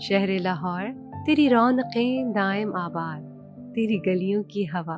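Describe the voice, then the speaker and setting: A woman talks with lively intonation while music plays in the background. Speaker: voice artist. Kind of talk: poetry reading.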